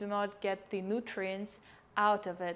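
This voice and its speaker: The speaker has a Russian accent and talks at a fairly slow pace. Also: woman. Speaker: cooking vlogger. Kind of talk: cooking tutorial. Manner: casual, with many fillers.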